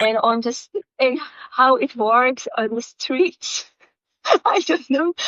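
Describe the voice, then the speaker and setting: A woman with a Polish accent and a high pitch, at a very slow pace, in a dry, close sound with no echo. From Poland. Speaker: software developer. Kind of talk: interview. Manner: halting.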